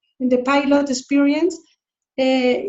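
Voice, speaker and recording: Her voice is high-pitched, and this woman speaks with a Spanish accent. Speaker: focusing coordinator in training. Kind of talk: online meeting sharing. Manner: halting.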